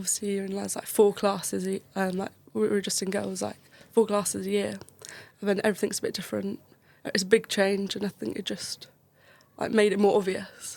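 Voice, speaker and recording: Speaking at a fairly quick pace, a woman with a southern English accent has a medium pitch. Her intonation is monotone and flat, broken by long, frequent pauses. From Kent, south-east England. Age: 20s. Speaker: medical student. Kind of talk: podcast interview.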